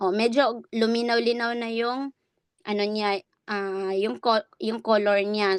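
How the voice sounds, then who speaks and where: A woman speaks very slowly in a fairly high voice. The sound is dry and close with no echo, and the background is quiet. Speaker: online business coach. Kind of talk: tutorial. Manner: raised voice.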